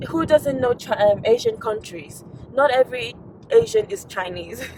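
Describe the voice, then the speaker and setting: Noticeable background noise sits behind a woman's high-pitched voice. Her tone is animated and her intonation lively. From Nigeria. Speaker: lifestyle vlogger. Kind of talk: casual talk to camera.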